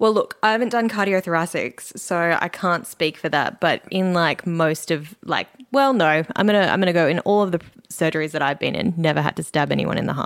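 In an Australian accent, a woman talks at a fairly quick pace with a fairly low pitch. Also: ordinary pitch variation. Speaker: doctor. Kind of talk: casual chat. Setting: studio.

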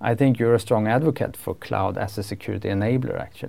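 In a very clean recording with a silent background, a man with a Swedish accent talks at a very fast pace. His tone is dark and mellow, with ordinary pitch variation. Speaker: podcast host. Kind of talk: interview. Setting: studio.

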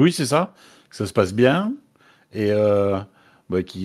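A man keeps a moderate pace, captured on a very clean recording with a silent background. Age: 20s. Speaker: gamer interview guest. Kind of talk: interview.

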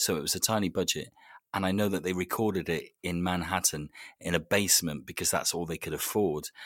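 A man with a very deep, low voice. He talks at a fairly quick pace with fairly even intonation. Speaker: podcaster. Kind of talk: casual interview chat. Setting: remote recording.

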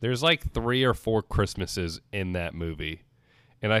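Here is an unremarkable speaking voice at a moderate pace with lively intonation. The sound is dry and close with no echo, in a very clean recording with a silent background. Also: man. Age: 20s. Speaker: podcast host. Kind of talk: casual chat.

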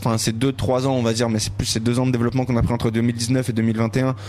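Music plays in the background. A man speaks at a medium pitch over it. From Paris, 13th arrondissement. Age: 20s. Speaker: rapper. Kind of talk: casual interview. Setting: bar smoking room.

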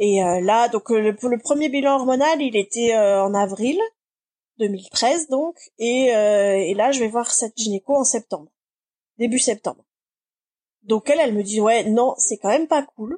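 Her fairly high voice has a dark, mellow tone and a fairly slow pace. Long, frequent pauses break up the speech, heard dry and close with no echo. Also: ordinary pitch variation. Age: 40s. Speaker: production manager in live entertainment. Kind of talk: personal testimony interview. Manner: hesitant, many fillers.

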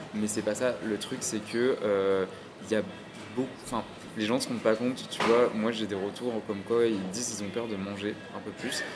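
A man speaks at a moderate pace and fairly low pitch with monotone, flat intonation and long, frequent pauses. There is audible room echo and noticeable background noise. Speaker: podcast host. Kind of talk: casual interview. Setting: café.

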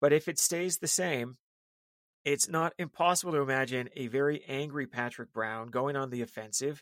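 A man speaks at a moderate pace with a fairly high pitch, ordinary pitch variation, and an ordinary speaking voice, on a very clean recording with a silent background. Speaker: political strategist. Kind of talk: casual chat.

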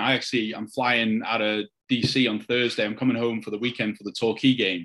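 A man with a North Welsh accent, medium in pitch, at a fairly quick pace with fairly even intonation. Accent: North Wales (Wrexham). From Wales, Wrexham. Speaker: football fan. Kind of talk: casual interview.

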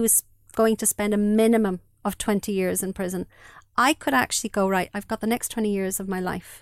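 A woman speaks at a fairly quick pace and medium pitch with fairly even intonation. The recording is very clean, dry and close, with a silent background and no echo. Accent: Irish. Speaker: bereaved mother. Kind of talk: testimony. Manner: halting.

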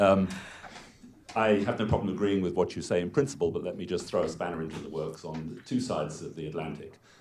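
Over noticeable background noise, a man with a very deep, low pitch talks at a very fast pace, his loudness swinging widely while his pitch varies in an ordinary way. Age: old. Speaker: retired economist. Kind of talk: audience question. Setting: stage with audience.

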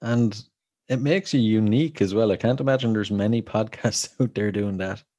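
A man with an Irish accent talks at a fairly quick pace in a fairly low pitch and a dark, mellow tone. His pitch variation is ordinary, and the recording is very clean with a silent background. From Ireland. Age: 30s. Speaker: podcast host. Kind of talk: casual chat.

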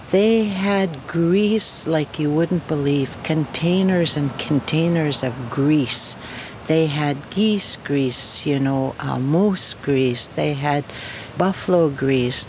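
Speaking very slowly, a woman with a very deep, low pitch and ordinary pitch variation is heard over noticeable background noise. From Fort Chipewyan, northern Alberta, Canada. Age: 60s. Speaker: First Nation elder. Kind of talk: interview. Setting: at her home.

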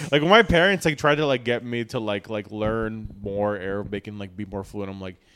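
In a normal speaking voice, the speaker goes at a moderate pace with ordinary pitch variation and big swings in loudness. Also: man, fairly low pitch for a man. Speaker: podcast host. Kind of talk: casual banter. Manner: joking, crude humor.

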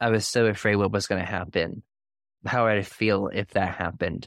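A man with a plain, everyday voice speaks at a moderate pace in a fairly low pitch, his intonation fairly even, on a very clean recording with a silent background. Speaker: podcast host. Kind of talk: interview.

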